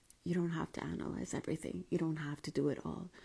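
This is a woman speaking. Her voice is quiet. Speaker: life coach. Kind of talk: live stream talk. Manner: casual. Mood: calm, gentle, reflective. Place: home room. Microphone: quiet, moved mic closer; earbuds.

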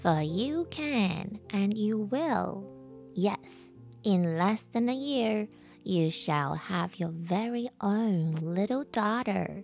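A woman puts on a croaky character voice at a medium pitch. She speaks at a very slow pace over clear music in the background.

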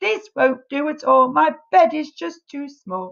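A woman's put-on character voice, high-pitched with vocal fry, big pitch swings and a fairly slow pace.

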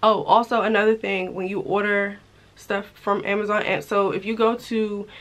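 A woman talks at a fairly quick pace. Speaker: lifestyle vlogger. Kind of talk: casual vlog chat.

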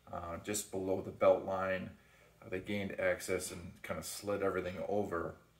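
At a fairly slow pace, a man talks as audible room echo fills the space. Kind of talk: casual vlog chat. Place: kitchen. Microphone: phone near.

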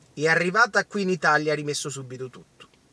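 A man's bright, sharp tone in a dry sound with no echo. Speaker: political commentator. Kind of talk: casual vlog commentary, ranting. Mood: indignant, angry. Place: car. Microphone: phone near.

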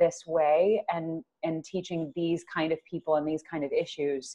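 Behind this woman, the background stays quiet. She keeps a moderate pace, her pitch varying in an ordinary way. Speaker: voice coach. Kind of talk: interview. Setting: remote call. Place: home room.

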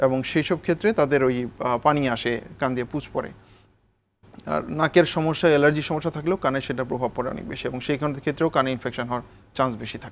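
A man talks in a normal speaking voice. It is fairly high in pitch and varies in an ordinary way. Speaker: ENT specialist doctor. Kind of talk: TV health interview.

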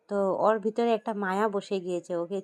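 A woman's slightly mellow voice, with ordinary pitch variation, sounds dry and close with no echo.

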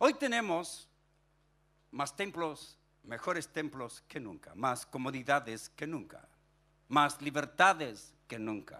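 A man with a bright, sharp tone and fairly high pitch speaks very slowly, his intonation lively and his loudness swinging widely. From Chile (Punta Arenas, raised in Viña del Mar); Chile. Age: 60s. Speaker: pastor. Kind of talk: sermon. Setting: stage with audience. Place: church. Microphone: handheld.

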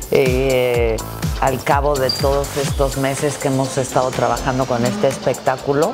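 A woman speaks at a moderate pace. Clear music runs behind her. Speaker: broadcaster and theatre performer. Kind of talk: interview answer. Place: hall.

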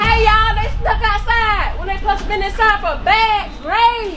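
A woman's voice over crowd noise in the background. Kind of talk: scripted family skit, scolding. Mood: mock angry, embarrassing. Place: street. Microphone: camera far.

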